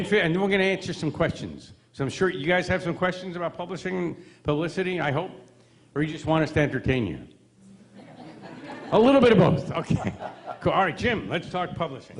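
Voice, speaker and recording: Over noticeable background noise, a man with an American accent and a high pitch talks at a fairly quick pace, using ordinary pitch variation and long, frequent pauses. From New York. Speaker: seminar presenter. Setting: stage. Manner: fast talker.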